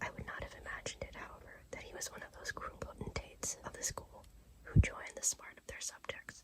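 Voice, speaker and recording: Whispering at a very fast pace over noticeable background noise. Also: woman. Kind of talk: sleep story reading. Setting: recorded in bed, close-up. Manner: whispered.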